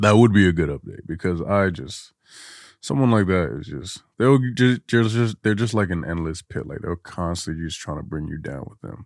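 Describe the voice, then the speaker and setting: With lively intonation, a man speaks in a very deep, low pitch. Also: moderate pace. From Guinea. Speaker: content creator. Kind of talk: casual chat. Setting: studio.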